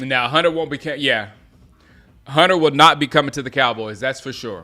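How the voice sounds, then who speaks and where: On a very clean recording with a silent background, a man with an American accent speaks at a moderate pace in a bright, sharp tone, his medium pitch showing ordinary variation. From US South, Gaffney, South Carolina. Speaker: sports fan streamer. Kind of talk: live watch-along commentary. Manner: casual, halting with restarts.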